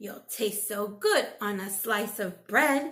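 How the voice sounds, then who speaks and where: Putting on a raspy character voice, a woman speaks at a medium pitch and a fairly slow pace. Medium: read story.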